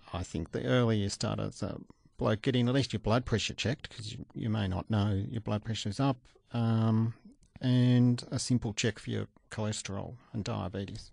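The man has an Australian accent and a fairly low pitch with ordinary pitch variation. He speaks at a moderate pace, and the sound is dry and close with no echo. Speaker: doctor, cardiologist. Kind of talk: expert interview.

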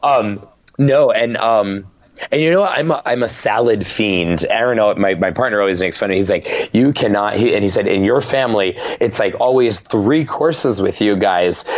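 At a moderate pace, a man talks at medium pitch with ordinary pitch variation and very even loudness. Background noise is noticeable. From Rhode Island. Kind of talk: casual interview.

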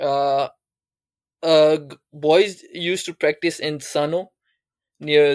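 A man's fairly high-pitched, monotone voice at a very slow pace, with flat intonation and a dry, close sound with no echo. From Pakistan, Islamabad. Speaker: cricketer. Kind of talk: interview. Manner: hesitant, many fillers.

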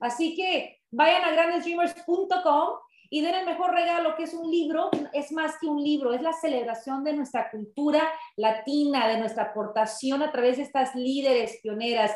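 A woman's high voice carries ordinary pitch variation as she talks at a moderate pace. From Southern California (San Pedro, Los Angeles), Mexican parents. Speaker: radio host. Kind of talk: interview.

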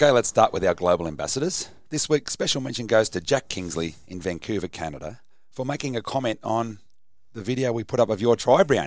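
In an Australian accent, a man talks at a fairly quick pace and medium pitch, with vocal fry and very wide pitch swings. The recording is very clean, with a silent background. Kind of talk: casual chat.

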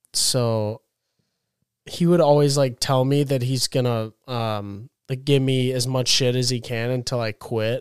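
In a dry, close sound with no echo, a man with a plain, everyday voice speaks at a fairly slow pace, medium pitch and fairly even intonation. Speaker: college student. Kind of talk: casual chat.

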